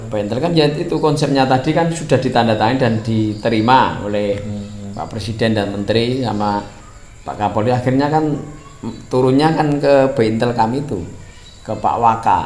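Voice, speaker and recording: Over noticeable background noise, a man talks at a medium pitch. His pace is moderate and his pitch varies in an ordinary way. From Boyolali, Central Java, Indonesia. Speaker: wayang puppeteer. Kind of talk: interview answer.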